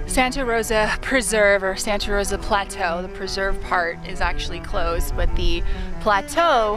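A woman talks at a fairly slow pace over clear background music, the sound dry with no echo. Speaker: hiker vlogger. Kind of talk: casual vlog chat. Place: open country. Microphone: phone near.

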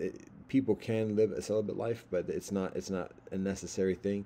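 Over light background noise, a man speaks at a moderate pace in a fairly low pitch, his tone dark and mellow and his intonation fairly even. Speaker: religious teacher. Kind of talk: informal lecture. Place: home room. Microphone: webcam.

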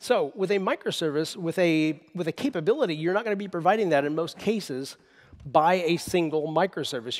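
The background stays quiet. Over it, a man talks fairly quickly. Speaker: conference presenter. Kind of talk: lecture. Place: stage. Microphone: headset.

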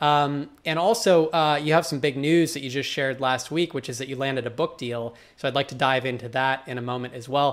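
Speaking at a fairly quick pace, a man keeps a fairly even intonation at a fairly high pitch. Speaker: blogging channel host. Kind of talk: interview. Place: home room. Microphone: webcam.

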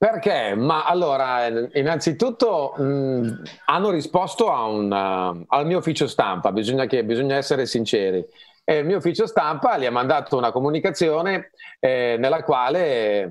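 Against a quiet background, a man with a fairly high pitch talks at a moderate pace, his pitch swinging very widely. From Lombardy, Legnano. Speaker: singer and English pronunciation coach. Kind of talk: casual chat. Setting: video call. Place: home room. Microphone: earbuds.

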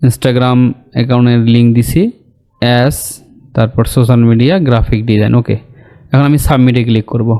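A man with a dark, mellow tone speaks at a medium pitch, his intonation fairly even and his loudness very even. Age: 20s. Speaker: graphic design and online earning tutor. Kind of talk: screen-share tutorial. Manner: casual, conversational.

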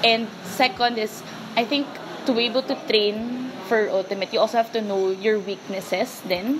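Noticeable background noise behind a woman's fairly high voice, moderate in pace, with fairly even intonation. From Philippines, Quezon City; Philippines. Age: 20s. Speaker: ultimate frisbee player. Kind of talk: interview monologue; interview answer. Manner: casual, filler-heavy (um, parang).

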